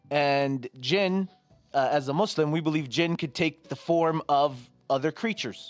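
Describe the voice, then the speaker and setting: A man with an American accent at a fairly slow pace, ordinary pitch variation and very even loudness, in a dry, close sound with no echo and music in the background. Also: fairly high pitch for a man. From New Jersey. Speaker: podcast guest. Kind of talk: casual chat.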